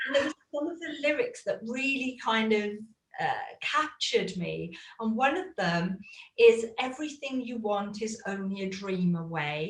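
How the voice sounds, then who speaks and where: In a British accent, a somewhat breathy voice moves at a fairly slow pace with very wide pitch swings. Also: woman, fairly high pitch for a woman. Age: 50s. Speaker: coaching student and former belly dance teacher. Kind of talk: interview.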